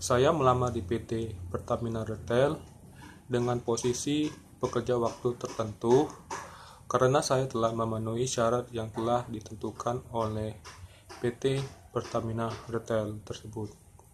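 Over light background noise, a man speaks at a fairly slow pace in a somewhat breathy voice. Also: fairly even intonation. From Indonesia, Palembang (South Sumatra); South Sumatra. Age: 20s. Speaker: job applicant. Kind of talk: self-introduction video for a job application. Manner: formal. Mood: calm, formal, earnest. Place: home room. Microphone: phone near.

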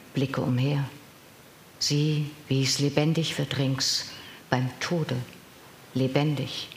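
A woman with a very deep, low pitch speaks very slowly in a solemn, dramatic tone, flat and monotone, with long, frequent pauses, audible room echo and light background noise. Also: very even loudness. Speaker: professional voice actor reading poems. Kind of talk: poem reading. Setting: live event with audience. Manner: measured, solemn, dramatic delivery with deliberate pauses; trained, clear, expressive diction. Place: hall.

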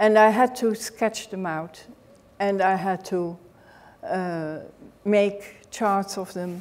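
A woman with a Dutch accent at a very slow pace, with long, frequent pauses and ordinary pitch variation. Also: medium pitch for a woman. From Netherlands. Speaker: author and knitting historian. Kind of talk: lecture. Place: hall.

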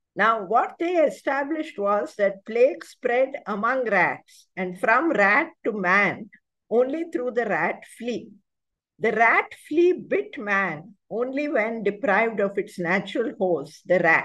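A woman's very slow speech with very wide pitch swings over a quiet background. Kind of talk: lecture. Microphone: video call.

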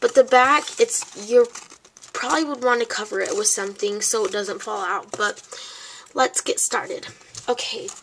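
A woman's high-pitched voice moves at a moderate pace amid noticeable background noise. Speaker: crafting YouTuber. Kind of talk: tutorial. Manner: halting, many fillers.

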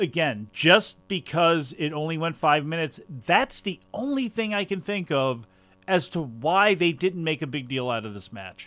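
A bright, sharp tone with very wide pitch swings at a moderate pace, on a very clean recording with a silent background. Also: man, fairly high pitch for a man. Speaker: podcast host. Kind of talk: casual podcast review chat.

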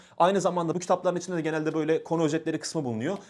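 The man's tone comes across as animated. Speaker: exam coach and university student; exam coach. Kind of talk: tutorial. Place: studio. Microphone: lapel.

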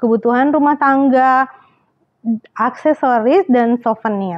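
A woman with a high pitch talks at a fairly slow pace, her pitch varying in an ordinary way. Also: quiet background. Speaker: travel vlogger. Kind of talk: casual vlog chat. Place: home room. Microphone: lapel.

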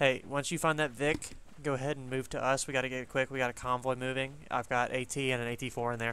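Delivered at a very fast pace, the voice is monotone and flat, with a bright, sharp tone and a dry sound that has no echo. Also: man. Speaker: gaming squad leader. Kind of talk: tactical game comms. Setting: online voice chat. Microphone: headset.

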